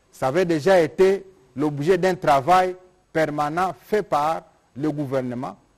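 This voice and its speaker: Against a quiet background, a man with a fairly high pitch speaks at a very slow pace with ordinary pitch variation. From DR Congo. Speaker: government minister. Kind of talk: press conference. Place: hall. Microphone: podium.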